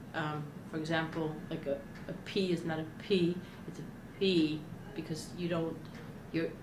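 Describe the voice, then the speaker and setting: A woman speaks in a monotone, flat delivery with long, frequent pauses. Room echo is audible. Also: fairly low pitch for a woman, moderate pace. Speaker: stuttering therapy client. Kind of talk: interview. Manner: halting.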